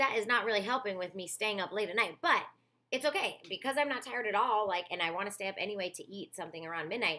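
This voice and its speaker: Here a woman speaks. Her pitch swings very widely. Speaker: fitness vlogger. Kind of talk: casual vlog update. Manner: chatty, filler-heavy.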